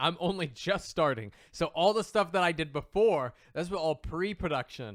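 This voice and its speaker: Lively intonation marks this man's high-pitched voice. He speaks at a moderate pace. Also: very clean recording, silent background. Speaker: podcast host and voice actor. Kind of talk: casual chat.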